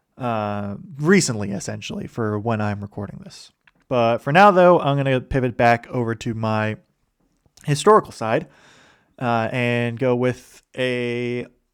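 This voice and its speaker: A man with a plain, everyday voice speaks at a fairly slow pace and medium pitch, with lively intonation and big swings in loudness. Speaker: history podcast host. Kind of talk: casual solo podcast talk. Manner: many filler words.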